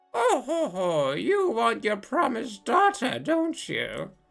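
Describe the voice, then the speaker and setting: A put-on character voice with a fairly high pitch moves at a fairly slow pace over faint background music. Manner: mocking; cackling, teasing.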